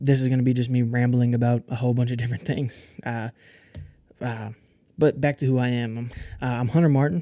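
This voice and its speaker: With a dark, mellow tone and medium pitch, a man talks fairly quickly in a flat monotone, leaving long, frequent pauses. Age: 20s. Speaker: chef and podcast host. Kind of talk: casual solo podcast monologue. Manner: halting, many fillers and restarts.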